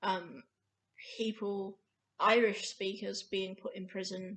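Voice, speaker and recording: Speaking with an Australian accent, a woman with a medium pitch uses monotone, flat intonation. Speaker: vlogger on Scottish Gaelic. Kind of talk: casual vlog talk. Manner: hesitant, many fillers.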